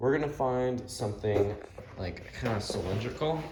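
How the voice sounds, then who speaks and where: A man with a medium pitch and a dark, mellow tone speaks at a moderate pace, somewhat breathy, with lively intonation. Audible room echo surrounds his voice. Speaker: radio restoration hobbyist. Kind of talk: tutorial. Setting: home workshop. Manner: casual, filler-heavy.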